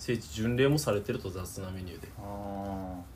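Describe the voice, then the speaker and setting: A somewhat breathy man of fairly low pitch at a moderate pace, with fairly even intonation and audible room echo. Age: 20s. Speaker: podcast co-host. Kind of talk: casual chat. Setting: recording at his home.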